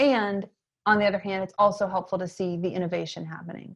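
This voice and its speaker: In a quiet background, a woman uses an ordinary speaking voice at a medium pitch. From Maine, US. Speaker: educator and entrepreneur. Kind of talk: interview conversation.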